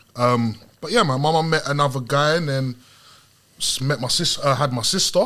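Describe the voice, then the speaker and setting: A man's fairly high voice at a moderate pace, ordinary pitch variation, and noticeable background noise. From South London, England. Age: 30s. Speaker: guest. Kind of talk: casual chat.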